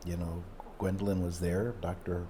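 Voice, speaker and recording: A man's very deep, low voice, somewhat breathy and dark and mellow in tone, at a moderate pace with audible room echo. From Mexico. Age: 60s. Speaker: emergency room doctor. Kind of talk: interview. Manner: halting, many fillers.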